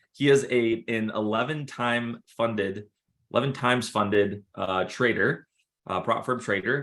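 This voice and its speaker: A man with an American accent and an ordinary speaking voice talks at a moderate pace and a medium pitch, with ordinary pitch variation. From Minnesota, Minneapolis area. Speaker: trading community host. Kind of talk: interview on group call. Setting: group call.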